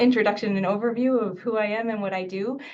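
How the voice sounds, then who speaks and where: A woman speaks at a fairly quick pace with fairly even intonation and a medium pitch, and the room echo is audible. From United States, born in Mexico. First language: Spanish. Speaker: infectious disease physician and professor. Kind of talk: webinar lecture. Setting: video webinar.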